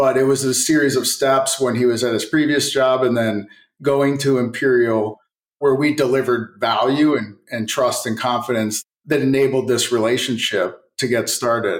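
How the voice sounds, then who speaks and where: A man speaks in a normal speaking voice at medium pitch and a moderate pace, with very even loudness and fairly even intonation. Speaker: technology company executive. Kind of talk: casual interview.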